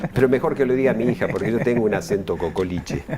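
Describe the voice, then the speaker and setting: Noticeable background noise fills the recording. A man speaks through it at a fairly quick pace. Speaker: union official, former UN worker. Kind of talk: interview. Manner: halting, many repetitions and fillers.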